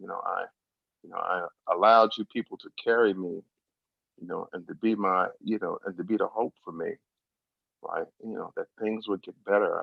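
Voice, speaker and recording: A man's voice at a moderate pace. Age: 60s. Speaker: recovery workshop speaker. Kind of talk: testimony. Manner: halting, many fillers.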